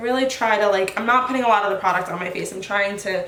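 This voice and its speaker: Both audible room echo and noticeable background noise come through in this clip. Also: woman. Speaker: beauty vlogger. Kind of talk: makeup tutorial. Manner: animated. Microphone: may be too quiet.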